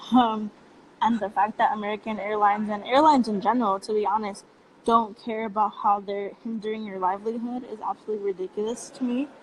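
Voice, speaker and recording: Over noticeable background noise, a woman with a Spanish accent talks at a very fast pace and a fairly high pitch, her intonation fairly even. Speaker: youth activist. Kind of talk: casual chat.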